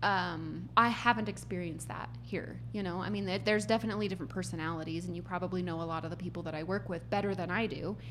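With an American accent, a woman talks at a very fast pace with hardly any pauses. Room echo is audible. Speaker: HR executive. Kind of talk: casual chat.

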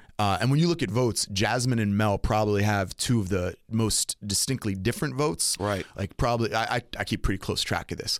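On a very clean recording with a silent background, a man with a normal speaking voice and fairly low pitch talks at a fairly quick pace with hardly any pauses, very even loudness and ordinary pitch variation. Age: 30s. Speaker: city council president and pastor. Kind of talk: interview. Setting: studio.

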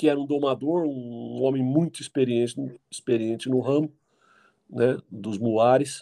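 Dark and mellow in tone, a man's voice sits at a medium pitch with fairly even intonation. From Jundiaí, São Paulo state, Brazil. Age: 50s. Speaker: mule and donkey breeder. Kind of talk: casual interview. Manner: halting, with repetitions.

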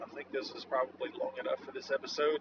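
A man talks at a very fast pace with noticeable background noise. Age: 40s. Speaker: blacksmith. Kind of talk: casual monologue. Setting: in a car.

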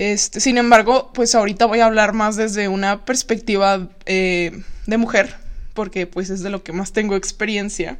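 A woman speaks with a Mexican accent at a medium pitch. Her pace is moderate and her intonation fairly even. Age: 20s. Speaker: podcast host, psychology student. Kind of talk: casual solo podcast monologue. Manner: chatty, frequent laughter.

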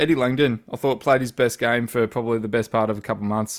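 The pace is very fast. The speaker is a man with an Australian accent. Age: 30s. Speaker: football fan podcast host. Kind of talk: casual chat.

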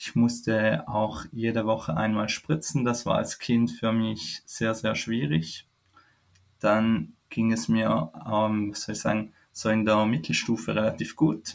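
Delivery is very slow. The pitch rises and falls in an ordinary way. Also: man, fairly low pitch for a man. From Switzerland. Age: 20s. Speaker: foundation employee living with chronic illness. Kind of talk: interview, personal story. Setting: remote call.

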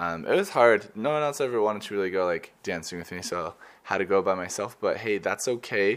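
On a very clean recording with a silent background, a fairly low-pitched man with an American accent and a normal speaking voice talks at a fairly quick pace with ordinary pitch variation. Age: 20s. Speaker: student podcaster. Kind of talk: casual travel monologue. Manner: casual, many fillers.

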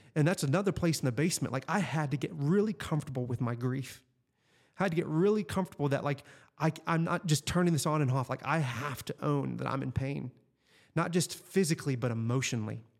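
Very fast speech from a man, on a very clean recording against a silent background. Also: fairly high pitch for a man, ordinary pitch variation. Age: 40s. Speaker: life coach. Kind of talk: casual interview.

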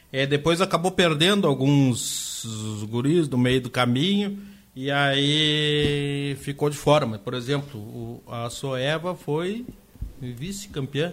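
Over noticeable background noise, a man speaks very slowly with a fairly high pitch and ordinary pitch variation. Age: 50s. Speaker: youth football and futsal club coordinator. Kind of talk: radio interview.

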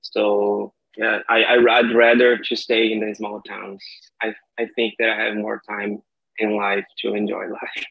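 Delivered at a fairly slow pace in a Brazilian accent, the speech has monotone, flat intonation. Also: man, fairly low pitch for a man. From Brazil, Maranhão (São Luís). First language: Portuguese. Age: 30s. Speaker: language learner. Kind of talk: casual chat.

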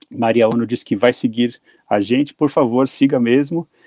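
Dark and mellow in tone, a man's medium-pitched voice comes at a moderate pace with fairly even intonation and a dry, close sound with no echo. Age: middle-aged. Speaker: podcast host and radio journalist. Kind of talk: casual interview chat.

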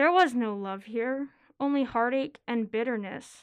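A woman speaks in a high voice at a fairly slow pace. The background is quiet. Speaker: college student and writer. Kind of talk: reading aloud.

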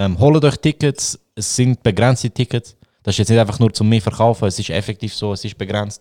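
A man with a Swiss accent speaks at a fairly quick pace in a dark, mellow tone with ordinary pitch variation. The recording is very clean, with a silent background and a dry, close sound with no echo. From Switzerland. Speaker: podcast host. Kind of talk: casual chat. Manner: animated.

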